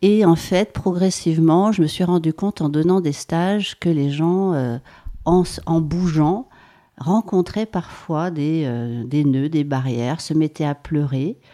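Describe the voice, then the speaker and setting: In a very clean recording with a silent background, a woman speaks at a very slow pace, her pitch fairly low with ordinary variation and her tone dark and mellow. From France, Savoie (Maurienne valley). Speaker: body-movement practitioner, former dancer. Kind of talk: casual interview. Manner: hesitant, many fillers.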